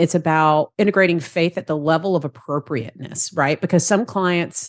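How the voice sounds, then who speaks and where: With a Southern accent, a woman speaks in a fairly low pitch at a moderate pace, with ordinary pitch variation. The sound is dry and close with no echo, over a quiet background. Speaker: therapist and practice consultant. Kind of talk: podcast interview.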